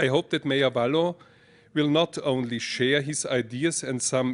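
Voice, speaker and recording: Speaking with an Austrian accent, a man keeps a fairly slow pace, fairly high pitch and fairly even intonation. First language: German. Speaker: mayor. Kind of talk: prepared speech read aloud. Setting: lecture hall with audience. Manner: halting, with restarts.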